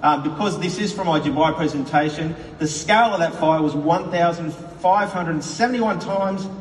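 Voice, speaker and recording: With an Australian accent, a man speaks at a moderate pace in a high pitch. There's noticeable background noise and audible room echo. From Australia, Queensland (Brisbane). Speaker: company executive. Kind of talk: conference speech. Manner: animated, with frequent fillers.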